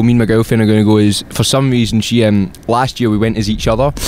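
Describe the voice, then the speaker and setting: A man with a Scottish accent speaks at a very fast pace, with hardly any pauses and very even loudness. His pitch sits at a medium level, and there is noticeable background noise. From Scotland, Glasgow. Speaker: musician. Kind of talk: casual chat.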